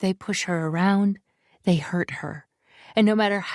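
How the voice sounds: A natural reading voice with fairly even intonation, against a quiet background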